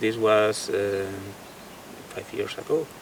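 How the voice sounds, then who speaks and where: Noticeable background noise under a man at a moderate pace. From Spain. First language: Spanish. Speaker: guitarist and painter. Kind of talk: interview. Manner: halting, with many fillers and repetitions.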